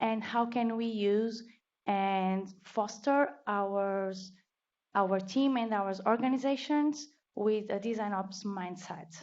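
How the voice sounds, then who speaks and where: A woman speaks very slowly at a medium pitch with ordinary pitch variation. Audible room echo surrounds her voice. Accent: Portuguese. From Portugal. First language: Portuguese. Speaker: designer, meetup speaker. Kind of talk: conference talk.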